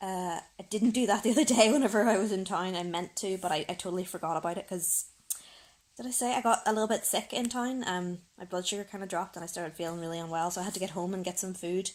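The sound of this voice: A woman talks fast at a medium pitch with ordinary pitch variation. Her tone is slightly mellow.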